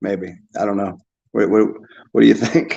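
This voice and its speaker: A man talks in a Northeastern US accent. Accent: American, Northeast. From US Northeast. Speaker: YouTuber. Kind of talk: casual monologue reacting to comments. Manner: halting, many fillers and repetitions.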